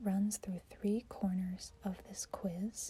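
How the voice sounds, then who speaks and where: Soft-spoken and somewhat breathy, the voice has a dark, mellow tone, fairly even intonation and a very slow pace. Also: woman. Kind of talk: ASMR soft-spoken puzzle-solving talk to camera. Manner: soft-spoken, quiet, thinking aloud.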